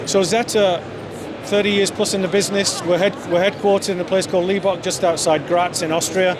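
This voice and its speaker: High-pitched and fairly quick, a man speaks in a monotone, flat intonation at very even loudness. Audible room echo and noticeable background noise surround him. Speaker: company executive. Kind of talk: interview. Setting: trade show booth.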